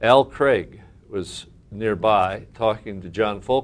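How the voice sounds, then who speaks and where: This man's voice sits fairly low in pitch, with ordinary pitch variation. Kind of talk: interview answer. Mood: warm, amused storytelling. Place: meeting room. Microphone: lapel.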